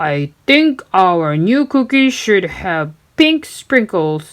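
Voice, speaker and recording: A female-sounding put-on character voice sits at a middle pitch. It moves at a very slow pace with very wide pitch swings. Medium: read story. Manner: pirate bluster.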